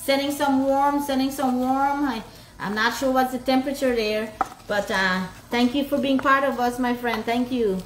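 A woman's high-pitched voice at a moderate pace over noticeable background noise. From Guyana. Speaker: cooking vlogger. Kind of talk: casual livestream chat while cooking. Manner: animated.

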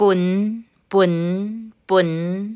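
The recording is very clean with a silent background. A woman is speaking. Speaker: language teacher. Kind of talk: vocabulary drill. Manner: slow.

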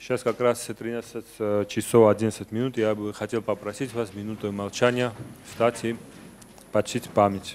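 The voice carries a Georgian accent and flat, monotone intonation. Light background noise is present. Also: man, fairly low pitch for a man, fairly slow pace. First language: Georgian (speaking Russian). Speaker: event moderator. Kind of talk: formal event announcement. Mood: solemn, respectful. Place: hall. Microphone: podium.

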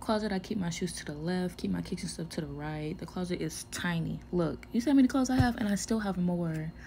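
Very fast and with hardly any pauses, a woman with a fairly low pitch and a dark, mellow, somewhat breathy tone speaks with lively intonation over light background noise. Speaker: vlogger living on an air force base. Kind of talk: casual vlog tour. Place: home room. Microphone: phone near.

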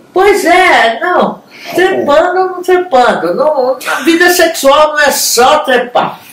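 Very slowly, a woman speaks at a high pitch with ordinary pitch variation, with audible room echo and light background noise. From Brazil. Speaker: show co-host. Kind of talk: TV talk show, frank opinion. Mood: lively, humorous. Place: home room.

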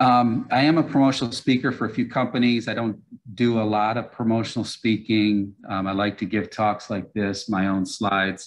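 A man at a moderate pace, fairly even in intonation with hardly any pauses, against a quiet background. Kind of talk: lecture. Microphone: webcam.

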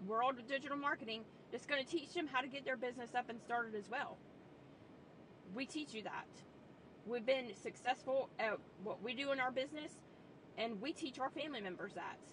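At a fairly quick pace and with ordinary pitch variation, the voice has a dry sound with no echo and light background noise. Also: woman. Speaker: online business coach. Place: car. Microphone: phone near.

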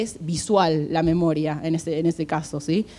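A woman with an Argentine accent speaks in a dark, mellow tone. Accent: Rioplatense Argentine Spanish. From Argentina. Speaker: HR recruiter. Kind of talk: conference talk. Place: hall. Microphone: handheld.

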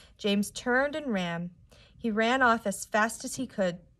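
A natural reading voice is what comes through here.

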